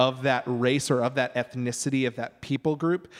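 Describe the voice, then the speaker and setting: At a moderate pace, a man talks in an ordinary speaking voice at a medium pitch. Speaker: pastor. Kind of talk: panel discussion.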